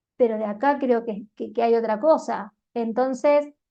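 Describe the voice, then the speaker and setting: The speaker is a woman with a Cordoban Argentine accent. Her pitch is fairly high. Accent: Argentine Spanish (Córdoba), voseo. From Argentina, Córdoba. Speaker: life coach and YouTuber. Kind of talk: motivational monologue.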